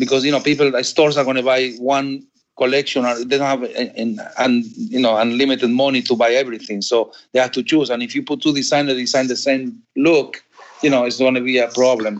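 With an Argentine accent, a man at medium pitch speaks fairly quickly in a monotone, flat intonation. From Argentina. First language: Spanish. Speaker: fabric company owner. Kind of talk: interview.

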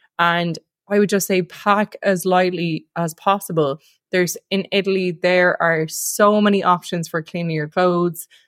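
In an Irish accent, a woman speaks at a moderate pace with a medium pitch and monotone, flat intonation, the sound dry and close with no echo. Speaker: podcast co-host. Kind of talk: casual chat.

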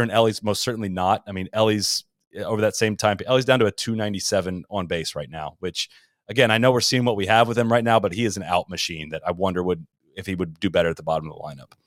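Talking very fast with lively intonation, a man with an American accent uses a fairly low pitch in a very clean, silent-background recording with a dry, close sound and no echo. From Ohio (Columbus). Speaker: golf podcast host. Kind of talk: casual interview.

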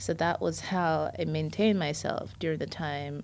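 A woman speaks very slowly with a very deep, low pitch and vocal fry. Her intonation is lively. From Jamaica. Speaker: UX/UI designer. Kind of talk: interview. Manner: animated.

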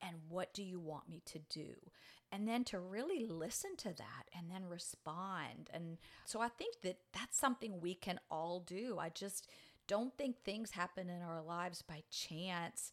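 Speaking fairly slowly with a New Orleans accent, a woman keeps a medium pitch with ordinary pitch variation. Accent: Southern US (New Orleans area). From US South, New Orleans. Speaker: nonprofit director. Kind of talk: interview.

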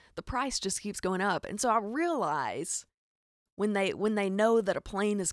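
With a Southern US accent, a woman speaks at a moderate pace in an animated tone and medium pitch, in a very clean recording with a silent background and a dry, close sound with no echo. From Arkansas. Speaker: podcast host. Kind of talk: casual comedic storytelling monologue. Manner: animated, joking.

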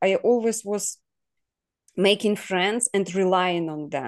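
A woman at a medium pitch with a Russian accent, fairly slow pace and ordinary pitch variation. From southern Ukraine (Kherson area), Russian-speaking. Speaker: guest from Ukraine. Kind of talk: casual interview. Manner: halting, many fillers and laughs.

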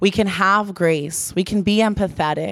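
On a very clean recording with a silent background, a woman with an American accent speaks in a normal speaking voice at a fairly slow pace with ordinary pitch variation. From South Florida (Pembroke Pines). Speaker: church leader, speaker. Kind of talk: sermon. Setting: church.

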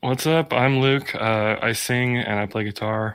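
With an unremarkable speaking voice, a man talks at a fairly slow pace and with fairly even intonation. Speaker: band member. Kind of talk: casual chat.

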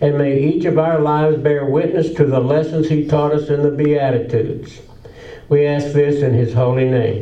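With an unremarkable speaking voice, a man talks at a moderate pace in a fairly high pitch, with fairly even intonation and very even loudness. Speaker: worship leader. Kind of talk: prayer. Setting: church.

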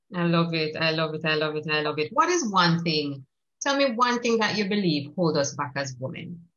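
A woman with a normal speaking voice, fairly low pitch, lively intonation, and a moderate pace. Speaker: podcast host. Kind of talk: interview conversation.

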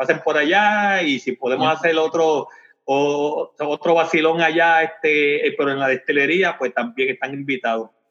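Here is a man with a bright, sharp tone and a fairly high pitch. He speaks at a moderate pace with ordinary pitch variation. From Puerto Rico, Comerío. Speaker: distillery owner. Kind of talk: interview. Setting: phone call. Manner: halting, many repeated words.

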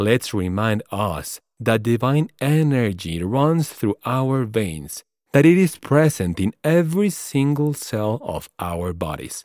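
At a very slow pace yet with hardly any pauses, a man with a non-native accent speaks in a warm tone at a medium pitch with very wide pitch swings, in a very clean recording with a silent background and a dry, close sound with no echo. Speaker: podcast host. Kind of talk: solo podcast monologue, reflective and inspirational. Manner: warm, encouraging, earnest.

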